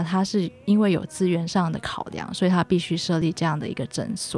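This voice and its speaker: A woman with a medium pitch talks at a moderate pace. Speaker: infectious disease physician. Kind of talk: radio interview. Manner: formal.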